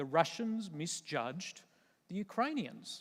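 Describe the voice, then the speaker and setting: With an Australian accent, a man talks using ordinary pitch variation on a very clean recording with a silent background. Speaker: retired army general, military speaker. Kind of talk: conference keynote talk. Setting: stage with audience.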